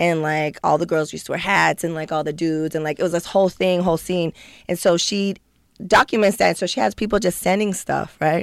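The recording is very clean, with a silent background, as a woman with an American accent talks at a fairly quick pace. Her unremarkable speaking voice sits fairly low in pitch with ordinary pitch variation. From San Diego, South Bay (California). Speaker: designer and artist. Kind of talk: casual chat.

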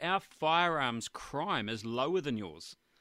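A man with a New Zealand accent speaks in a fairly high pitch with lively intonation and a bright, sharp tone. The sound is dry and close, with no echo. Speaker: hunting podcast host. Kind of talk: interview. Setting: Skype call.

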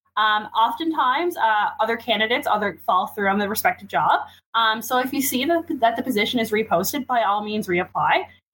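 Speaking in a Newfoundland accent, a woman talks at a fairly quick pace and fairly high pitch with lively intonation and hardly any pauses. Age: 20s. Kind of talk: casual chat.

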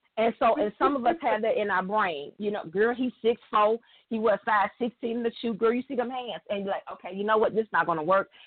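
With a Southern US accent, a woman talks fairly quickly in a fairly high voice, hardly pausing, her pitch varying in an ordinary way. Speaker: radio show guest. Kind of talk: casual chat. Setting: phone call.

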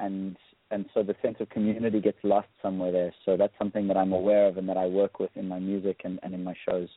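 Speaking at a very fast pace, a man keeps a fairly low pitch and a flat, monotone intonation. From South Africa. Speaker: musician. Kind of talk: interview.

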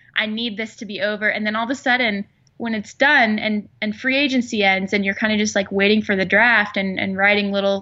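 The woman has a normal speaking voice, fairly high in pitch. She keeps a moderate pace and fairly even intonation. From Arizona (Phoenix). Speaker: sports beat writer. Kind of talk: casual interview chat.

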